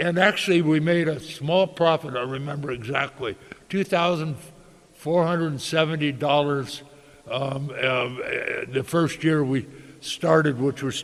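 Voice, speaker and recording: A man with an American accent, fairly high pitch and ordinary pitch variation, with noticeable background noise. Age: 80s+. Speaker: winery owner. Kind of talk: interview. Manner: halting.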